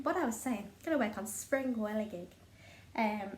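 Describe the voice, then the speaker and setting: A woman with a Liverpool accent speaks at a fairly high pitch with lively intonation, and the room echo is audible. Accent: Scouse (Liverpool). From northern England, Liverpool. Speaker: craft vlogger. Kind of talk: casual chat.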